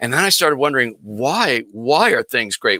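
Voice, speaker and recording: The sound is dry and close with no echo, and a man talks at a fairly quick pace. His tone is bright and sharp, with a medium pitch and ordinary pitch variation. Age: 60s. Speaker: business coach and guest. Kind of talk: casual interview chat.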